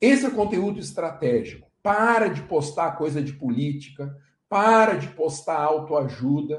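A man's somewhat breathy voice, very slow, with ordinary pitch variation. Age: 40s. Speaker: law professor and lawyer. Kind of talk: live online lecture.

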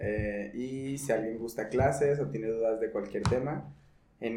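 Amid noticeable background noise and audible room echo, a man of medium pitch speaks fairly slowly with lively intonation. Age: 20s. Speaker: podcast host, yoga teacher. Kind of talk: casual chat.

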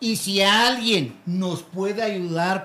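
A man speaks with ordinary pitch variation. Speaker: street comedian. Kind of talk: casual chat. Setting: live show with small audience.

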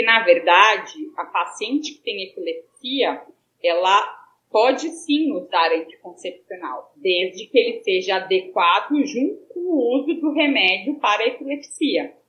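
A woman with a fairly high pitch talks at a fairly slow pace, her voice making very wide pitch swings. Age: 30s. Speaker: pediatrician and epilepsy patient. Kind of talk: interview.

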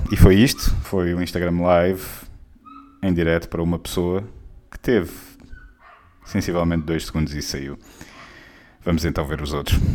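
With a European Portuguese accent, a man talks at a moderate pace in a very deep, low voice. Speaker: podcast host. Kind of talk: casual comedic monologue.

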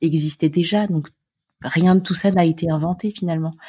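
A woman's somewhat breathy, fairly low voice carries a dark, mellow tone, moving at a moderate pace with monotone, flat intonation. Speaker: podcast host. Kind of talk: interview; scripted narration.

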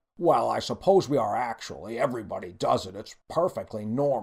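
Putting on a character voice, a man talks at a fairly quick pace with a fairly low pitch, lively intonation, a slightly husky edge, vocal fry and a slightly mellow tone.

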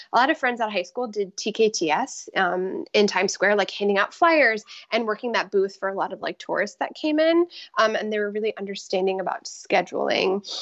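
Speaking in an unremarkable speaking voice with an American accent, a woman of medium pitch talks at a fairly quick pace with lively intonation. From Florida, Tampa Bay area. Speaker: professional dancer. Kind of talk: interview.

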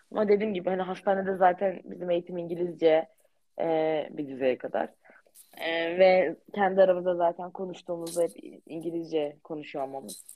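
A woman speaks at a moderate pace and fairly low pitch with fairly even intonation. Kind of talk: casual chat.

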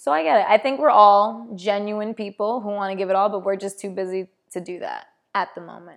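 A woman with an American accent uses a normal speaking voice at medium pitch, talking at a fairly quick pace with fairly even intonation and big swings in loudness. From New York. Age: 20s. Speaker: podcast host, aspiring actor. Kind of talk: casual chat.

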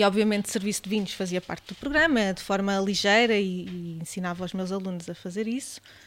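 A woman with a plain, everyday voice speaks at medium pitch and a fairly quick pace, with ordinary pitch variation and hardly any pauses. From Portugal, Beira Alta (Mangualde, near Viseu). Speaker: gastronome, hospitality professional. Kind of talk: casual chat over wine. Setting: seated at a table with hosts.

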